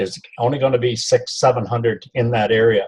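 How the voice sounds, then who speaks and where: This man's voice is somewhat breathy. He speaks at a fairly slow pace with ordinary pitch variation. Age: 70s. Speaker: network marketing distributor. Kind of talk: casual interview.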